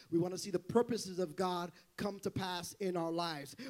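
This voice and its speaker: A man speaks in an animated tone at a moderate pace. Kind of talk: sermon. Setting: church with live congregation. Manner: animated, loud, call-and-response preaching, building to shouts; urgent and exhorting, rhythmic with repeated phrases and 'come on' prompts.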